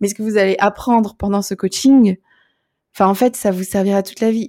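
Recorded very cleanly with a silent background and a dry, close sound with no echo, a woman of medium pitch talks at a moderate pace in a dark, mellow tone with fairly even intonation. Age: 30s. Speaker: coach. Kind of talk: testimony.

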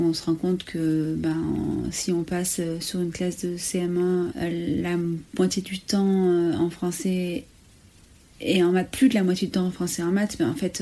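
Her fairly low, dark, mellow voice moves at a fairly slow pace with fairly even intonation. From France, Ardèche. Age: 30s. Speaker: primary school teacher and headteacher. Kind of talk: testimony.

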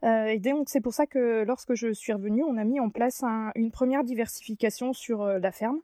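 A woman speaks in a dark, mellow tone, the sound dry and close with no echo and the recording very clean against a silent background. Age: 30s. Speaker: farmer and miller. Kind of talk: interview monologue. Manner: hesitant, many fillers.

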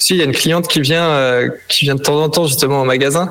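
A man's fairly high voice, fairly even in intonation, over noticeable background noise. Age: 20s. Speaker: bike workshop technician. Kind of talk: interview.

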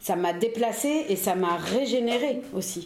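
A woman with lively intonation amid audible room echo and noticeable background noise. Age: 40s. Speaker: historian, editor of a reissued book. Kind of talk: casual chat. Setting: apartment in Paris.

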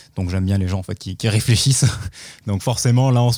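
With a dark, mellow tone and fairly low pitch, a man talks in fairly even intonation on a very clean recording with a silent background. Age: 20s. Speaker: publishing marketing manager. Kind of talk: podcast interview.

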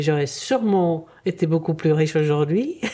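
A woman with a very deep, low pitch speaks very slowly amid noticeable background noise. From Czechoslovakia (Prague), then Paris. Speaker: retired biologist. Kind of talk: interview, personal story. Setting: studio. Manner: halting, repeats words.

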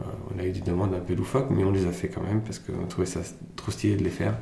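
Audible room echo surrounds a man whose very deep, low voice stays monotone and flat. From Germany, then France from age 11. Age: 30s. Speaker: entrepreneur. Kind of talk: interview.

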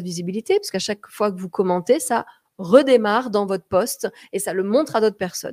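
A woman with a medium pitch speaks at a fairly quick pace in an animated tone, with ordinary pitch variation. The recording is very clean, with a silent background and a dry, close sound with no echo. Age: 40s. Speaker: communication coach and podcast host. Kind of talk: live social media broadcast, tips talk. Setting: live stream on social media.

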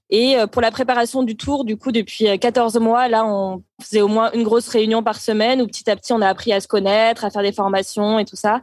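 With hardly any pauses, a woman talks at a fairly quick pace in a fairly high pitch, her intonation flat and monotone. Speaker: interfaith volunteer on world tour. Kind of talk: casual interview. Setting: remote call from abroad.

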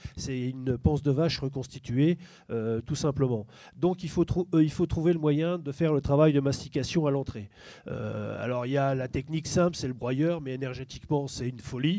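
A man's dark, mellow voice, fairly high in pitch with ordinary variation, at a moderate pace on a very clean recording with a silent background. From eastern France. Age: 50s. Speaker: farmer and farm union official. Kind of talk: panel discussion. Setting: public debate with audience.

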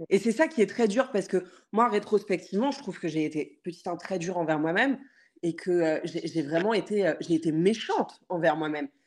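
At a moderate pace, a woman speaks in a normal speaking voice with lively intonation over a quiet background. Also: medium pitch for a woman. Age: 30s. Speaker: entrepreneur and content creator. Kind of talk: personal testimony in interview.

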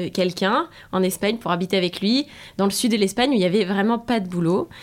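A woman's medium-pitched, unremarkable speaking voice with ordinary pitch variation, in a very clean recording over a silent background. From France. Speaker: sales entrepreneur. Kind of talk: interview.

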